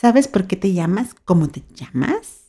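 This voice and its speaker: Talking at a very slow pace in a Mexican accent, a woman has a medium pitch, a dark, mellow tone and lively intonation. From Mexico, Baja California (Mexicali). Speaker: podcast host. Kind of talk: solo podcast monologue. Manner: cheerful, laughing.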